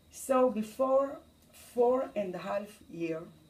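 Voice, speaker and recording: Her tone dark and mellow and somewhat breathy, a woman speaks at a very slow pace with lively intonation. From Morocco. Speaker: bereaved mother, speaker. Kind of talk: testimony. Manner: halting.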